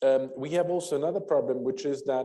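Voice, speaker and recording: Delivered at a fairly quick pace, the voice has a dark, mellow tone and audible room echo. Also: man. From France. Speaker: energy policy expert, panelist. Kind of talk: panel discussion. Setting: conference auditorium, hybrid event. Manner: halting, many fillers.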